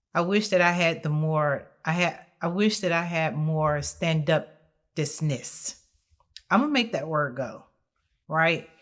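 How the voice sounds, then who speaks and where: Speaking very slowly, a woman with an American accent uses a fairly low pitch on a very clean recording with a silent background. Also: ordinary pitch variation. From South Carolina. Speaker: interview guest. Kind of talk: podcast interview, personal testimony. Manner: naturally loud; hesitant, many fillers.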